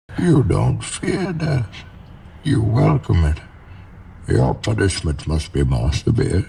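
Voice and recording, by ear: A man's put-on character voice, fairly low and dark, mellow, with vocal fry, very wide pitch swings and a slow pace.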